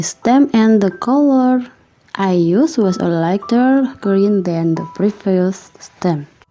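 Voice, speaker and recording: A woman talks at a very slow pace with lively intonation while music plays in the background. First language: not English. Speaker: embroidery crafter. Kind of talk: craft tutorial narration.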